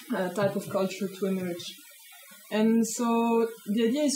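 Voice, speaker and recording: With a Swiss accent, a woman speaks at a fairly high pitch and with fairly even intonation over noticeable background noise. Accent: Swiss, non-native English. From Switzerland. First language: not English. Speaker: sociology of science researcher. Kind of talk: talk to a small audience. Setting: hackspace talk with live audience.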